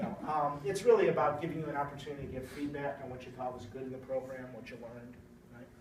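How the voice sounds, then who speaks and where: A man talks very fast with lively intonation. Noticeable background noise and audible room echo surround his voice. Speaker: corporate IT manager recruiting interns. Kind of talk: recruiting talk to students.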